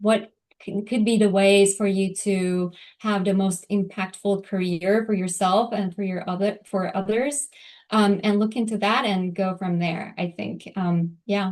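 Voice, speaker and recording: Fairly slow speech from a woman in a Turkish accent, medium in pitch with fairly even intonation, over a quiet background. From Turkey. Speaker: lawyer. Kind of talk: interview. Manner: hesitant, many fillers.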